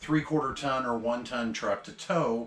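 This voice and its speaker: A man speaks at a moderate pace, his pitch varying in an ordinary way. Echo from the room is audible. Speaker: RV dealer salesperson. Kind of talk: product tour walkthrough.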